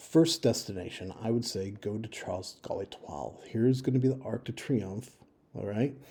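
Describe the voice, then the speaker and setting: A man with an American accent speaks fairly quickly at a medium pitch, his dark, mellow tone marked by vocal fry, ordinary pitch variation and big swings in loudness. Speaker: travel advice video maker. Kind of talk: informal screen-share walkthrough. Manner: casual with fillers.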